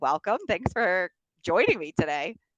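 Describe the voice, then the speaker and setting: The sound is close and dry, without any echo. A woman talks in an American accent. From US Northeast, Bronx, New York. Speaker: podcast host. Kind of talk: interview. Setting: video call.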